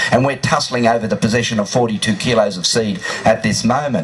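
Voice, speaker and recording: With an Australian accent, a man speaks at a very fast pace, his medium pitch varying in an ordinary way. Noticeable background noise is present. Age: 50s. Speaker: cannabis activist. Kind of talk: rally speech.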